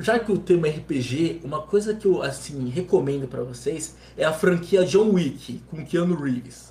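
A man's voice at a fairly slow pace, hardly any pauses, ordinary pitch variation, and noticeable background noise. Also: fairly high pitch for a man. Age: 20s. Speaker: gamer and streamer. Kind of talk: casual chat.

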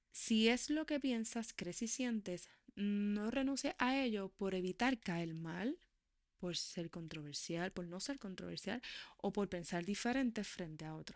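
Speaking in a normal speaking voice, a woman uses lively intonation at a medium pitch and a fairly slow pace. The recording is very clean, with a silent background. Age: 40s. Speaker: podcast host. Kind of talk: monologue.

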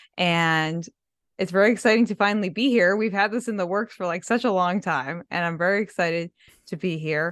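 A woman speaks at a fairly quick pace in an animated, energetic tone, her medium pitch showing ordinary variation. The background is quiet. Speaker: podcaster and fan community creator. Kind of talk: casual chat.

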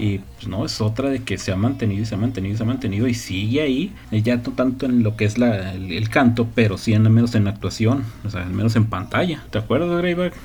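Medium-pitched with vocal fry, a man talks with hardly any pauses. His voice carries audible room echo. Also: ordinary pitch variation. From northern Mexico. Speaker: podcast host. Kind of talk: casual chat.

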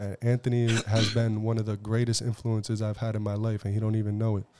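A man's dark, mellow, fairly low voice at a very fast pace. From Southbridge, Massachusetts. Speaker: rapper. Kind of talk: casual chat.

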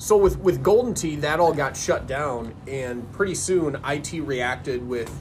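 Recorded with audible room echo and noticeable background noise, a man with an American accent speaks at a fairly slow pace with ordinary pitch variation. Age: 40s. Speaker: podcast host. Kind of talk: casual chat.

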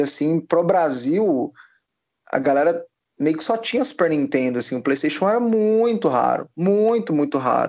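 A man talks at a fairly slow pace with lively intonation. He has an ordinary speaking voice. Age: 20s. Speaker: esports caster. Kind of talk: casual interview chat.

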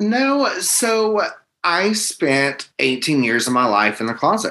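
A man with a fairly high pitch and a bright, sharp tone talks at a slow pace with ordinary pitch variation.

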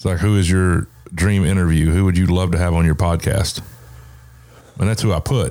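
A man with an American accent talks in a very deep, low pitch at a fairly quick pace, his dark, mellow tone carrying fairly even intonation and very even loudness, broken by long, frequent pauses. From US South. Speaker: podcast host. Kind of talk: casual chat.

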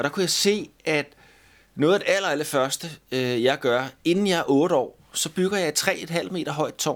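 At a moderate pace, a man with a fairly high pitch and ordinary pitch variation uses an ordinary speaking voice, recorded very cleanly with a silent background. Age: 50s. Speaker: musician. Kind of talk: casual chat.

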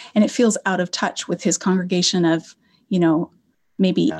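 Here is a woman with a normal speaking voice and medium pitch, using ordinary pitch variation. The recording is very clean, with a silent background. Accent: General American. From Colorado. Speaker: Old Testament professor. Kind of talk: interview.

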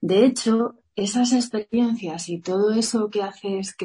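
A woman's dark, mellow, somewhat breathy voice at medium pitch. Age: 40s. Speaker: yoga teacher and entrepreneur. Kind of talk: interview.

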